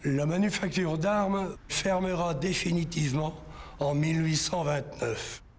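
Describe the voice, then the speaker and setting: A man speaks at a very slow pace with a fairly high pitch and fairly even intonation. His loudness is very even, and there is audible room echo. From northern France, Nord near Maubeuge. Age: 60s. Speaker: local history witness. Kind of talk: testimony.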